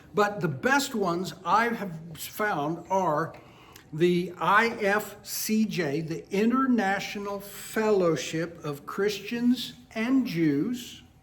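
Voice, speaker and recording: A high-pitched man at a very slow pace, with audible room echo. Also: ordinary pitch variation. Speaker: Bible teacher. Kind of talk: Bible study lecture.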